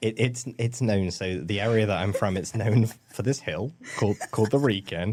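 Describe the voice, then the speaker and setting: Someone talks at a moderate pace in an English accent. The pitch variation is ordinary. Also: man, fairly low pitch for a man. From England, Shropshire (Ludlow). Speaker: healthcare compliance executive. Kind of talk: podcast interview.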